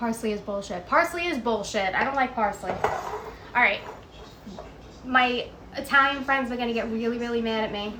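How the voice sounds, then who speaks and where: Over noticeable background noise and audible room echo, a woman with a New York accent speaks at a high pitch and a fairly quick pace, with ordinary pitch variation and long, frequent pauses. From New York City (Queens). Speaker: home cooking streamer. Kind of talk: casual chat while cooking. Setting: Instagram live stream at home.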